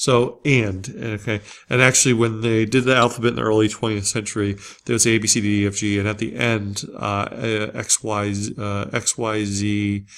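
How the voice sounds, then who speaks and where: Speaking at a moderate pace, a man with an American accent uses a fairly low pitch and fairly even intonation. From Springfield (US). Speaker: college instructor. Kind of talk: lecture. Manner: hesitant, many fillers.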